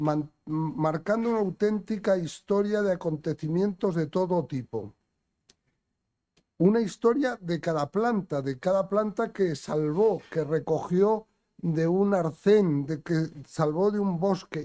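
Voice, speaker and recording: A man's high voice with a dark, mellow tone, ordinary pitch variation, a fairly slow pace and a dry, close sound with no echo. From Spain. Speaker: event presenter. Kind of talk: speaker introduction.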